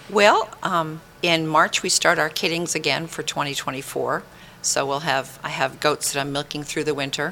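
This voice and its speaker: A woman with an American accent speaks at a fairly slow pace in a very deep, low pitch, her intonation fairly even. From Maine, US. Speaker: goat farmer. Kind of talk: interview. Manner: halting.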